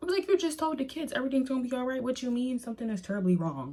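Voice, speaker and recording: Somewhat breathy, a woman's dark, mellow voice moves through very wide pitch swings. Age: 20s. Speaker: beauty vlogger. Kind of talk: storytime while getting ready. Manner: animated.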